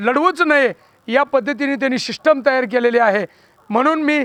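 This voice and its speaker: A man with an extremely high-pitched voice is recorded dry and close, with no echo. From Maharashtra, Pandharpur area. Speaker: election candidate. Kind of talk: campaign statement to press. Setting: after a corner rally.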